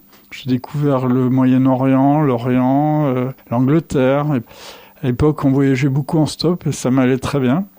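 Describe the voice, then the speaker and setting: A man's medium-pitched voice, dark and mellow in tone, monotone and flat, at a very slow pace. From eastern France (Vosges). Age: 70s. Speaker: toy shop owner. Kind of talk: interview, personal life story. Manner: hesitant, many filler sounds.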